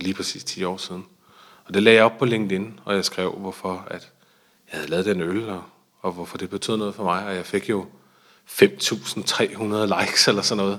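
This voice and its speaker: At a moderate pace, the voice keeps a monotone, flat intonation while its loudness swings widely. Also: man, fairly low pitch for a man. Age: 30s. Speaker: brewery founder and CEO. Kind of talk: interview. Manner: hesitant, many fillers and repetitions.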